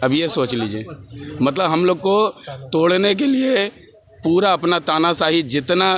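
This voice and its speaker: Noticeable background noise surrounds a man whose pitch moves in very wide swings. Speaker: protesting displaced landowner. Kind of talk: protest interview to media. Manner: impassioned.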